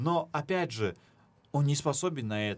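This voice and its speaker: The man's voice sits at a medium pitch. His intonation is lively. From Dagestan, Russia. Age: 20s. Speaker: podcast team member. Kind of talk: casual chat.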